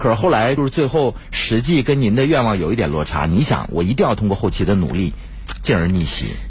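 Over noticeable background noise, a man with a fairly low pitch talks at a fairly quick pace, keeping very even loudness while his pitch swings very widely. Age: 40s. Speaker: radio host. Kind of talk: radio interview; radio announcements. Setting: studio.

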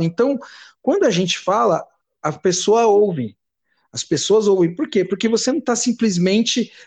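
Against a quiet background, a man with a high voice for a man speaks at a moderate pace and shows ordinary pitch variation. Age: 40s. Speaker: punk band drummer. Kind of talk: interview.

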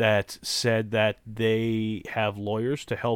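In a very clean recording with a silent background, a man with a Southern US accent speaks very slowly at a medium pitch. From Louisiana. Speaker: podcast host. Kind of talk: casual chat. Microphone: new microphone.

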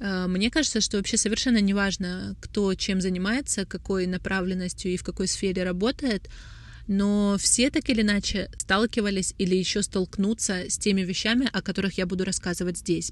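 A woman with a normal speaking voice talks at a medium pitch and a moderate pace, with fairly even intonation. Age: 20s. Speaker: brand founder and creative director. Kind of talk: solo podcast monologue.

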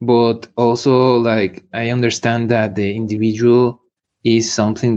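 A man speaks with a Spanish accent. His pitch is medium and his pace fairly slow. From Mexico, eastern Michoacán. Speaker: musician and martial artist. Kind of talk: interview. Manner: halting.

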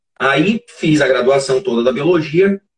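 At a moderate pace, a somewhat breathy voice carries the speech. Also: man. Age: 40s. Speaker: forensic expert. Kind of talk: interview. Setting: live stream.

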